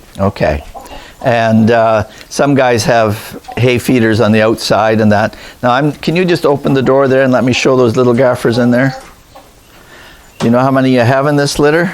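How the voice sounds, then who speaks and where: Noticeable background noise sits under a man who speaks with long, frequent pauses, ordinary pitch variation, and very even loudness. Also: medium pitch for a man, moderate pace. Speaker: rabbit breeder, channel host. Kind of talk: casual interview questions on farm tour.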